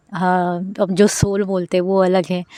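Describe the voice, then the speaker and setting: Her accent is non-native. The speaker is a woman. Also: dry, close sound with no echo. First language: not Hindi (speaking Hindi). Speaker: vlogger. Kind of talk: casual vlog monologue. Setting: outdoors in a garden. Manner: hesitant, with many fillers.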